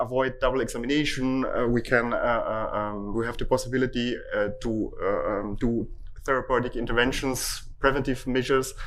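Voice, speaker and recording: A man at a moderate pace, with audible room echo. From Italy. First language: Italian. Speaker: hospital IT department head. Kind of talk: conference talk. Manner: halting.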